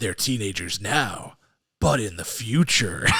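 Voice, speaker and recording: A man talks at a fairly slow pace in a put-on character voice. His pitch is fairly low and raspy. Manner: put-on imitation voice.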